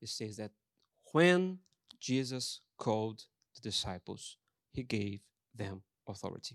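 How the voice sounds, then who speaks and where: A man with a Brazilian accent and medium pitch speaks at a fairly slow pace with lively intonation, big swings in loudness and long, frequent pauses, in a dry, close sound with no echo. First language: Portuguese. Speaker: pastor. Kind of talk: sermon. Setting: church.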